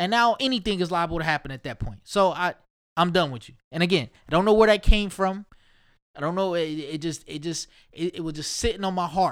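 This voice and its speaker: A high-pitched man with a New York accent, animated in tone, at a fairly quick pace with big swings in loudness. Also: ordinary pitch variation, very clean recording, silent background. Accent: sounds like New York. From Ohio. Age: 30s. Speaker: podcast host. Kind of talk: casual monologue.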